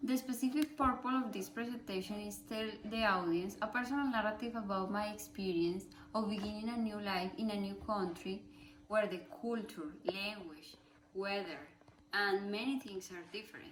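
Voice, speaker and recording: A woman with a Spanish accent speaks at a moderate pace and medium pitch with ordinary pitch variation, amid audible room echo and noticeable background noise. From Colombia. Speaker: student. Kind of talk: class presentation speech. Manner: halting.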